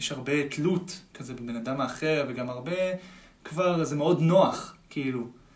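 A fairly high-pitched man at a fairly slow pace, with ordinary pitch variation, audible room echo and noticeable background noise. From Israel, Tel Aviv. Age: 20s. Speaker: musician. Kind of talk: casual chat. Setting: studio.

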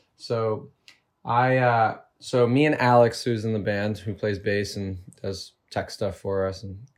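This is a plain, everyday voice with a Canadian accent. Its intonation stays fairly even. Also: man. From Canada, Toronto suburbs. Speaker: lead singer of a band. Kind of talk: casual chat.

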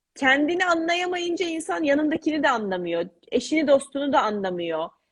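A woman's high voice, fairly quick, with very wide pitch swings. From Istanbul, Turkey. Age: 30s. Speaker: author. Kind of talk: interview.

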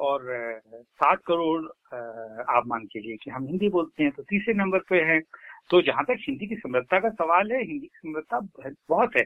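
A man talks at a high pitch with very wide pitch swings. His loudness also swings a lot. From Uttar Pradesh, India. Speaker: lyricist and poet. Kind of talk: interview.

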